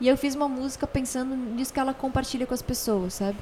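A woman with a high pitch talks at a fairly quick pace, her pitch varying in an ordinary way. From Rio Grande do Sul, Brazil (Torres, Porto Alegre). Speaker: singer-songwriter and voice actress. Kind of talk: casual interview. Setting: host's home.

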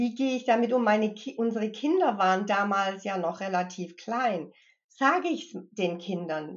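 At a fairly slow pace, a woman with a plain, everyday voice speaks at a fairly high pitch with lively intonation. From US Midwest and Connecticut, moved to Germany at 15. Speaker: mindfulness trainer and grief counselor. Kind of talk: interview conversation.

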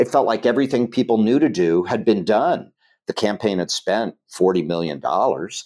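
A man's fairly low, dark, mellow voice with lively intonation and an American accent, at a moderate pace. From Ohio, US Midwest. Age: 60s. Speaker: political organizer and canvassing trainer. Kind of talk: casual interview conversation; TED talk.

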